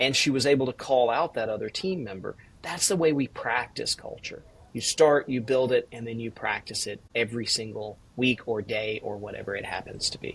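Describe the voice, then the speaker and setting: With a slight Southern US accent, this voice moves at a moderate pace with ordinary pitch variation. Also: man, medium pitch for a man. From US South, Georgia (Valdosta). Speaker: executive coach and author. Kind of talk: podcast interview.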